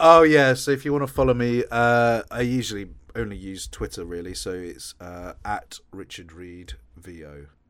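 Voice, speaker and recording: This man has an Essex accent and a medium pitch. His intonation is lively, and his loudness swings widely. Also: moderate pace, very clean recording, silent background. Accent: southern English (Essex). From Essex, England. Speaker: voice actor and audiobook narrator. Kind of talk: casual interview.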